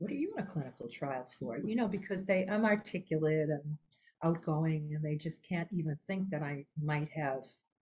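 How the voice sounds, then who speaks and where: Somewhat breathy and dark, mellow in tone, a woman speaks at a moderate pace with a very deep, low pitch. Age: 70s. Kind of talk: personal testimony in a webinar. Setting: online webinar. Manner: halting, with many fillers and restarts.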